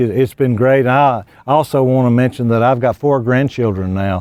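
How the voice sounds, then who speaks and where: A man with a Southern US accent speaks with fairly even intonation at a medium pitch. His tone is dark and mellow. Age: 60s. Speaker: retired high school football coach. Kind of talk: interview.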